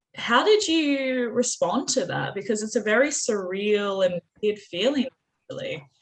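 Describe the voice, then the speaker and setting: This woman speaks with an Australian accent. Her pace is fairly slow and her pitch fairly high. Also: ordinary pitch variation. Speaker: author and interview host. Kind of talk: interview.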